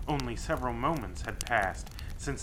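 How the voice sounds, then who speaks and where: The pace is moderate. Background noise is noticeable. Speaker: horror story author. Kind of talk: horror story narration.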